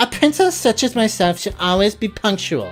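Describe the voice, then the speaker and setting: A woman's put-on character voice, fairly high in pitch, at a moderate pace over clear music in the background. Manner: prim, haughty.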